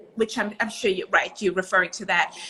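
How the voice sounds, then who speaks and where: A woman with a South African accent speaks in a raised, projected voice. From South Africa and Israel. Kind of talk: interview.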